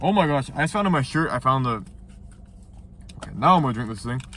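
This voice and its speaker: Talking at a very fast pace, a man uses lively intonation at a fairly high pitch. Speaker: YouTuber reviewing TV show episodes. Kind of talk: casual video review. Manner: casual, halting with fillers.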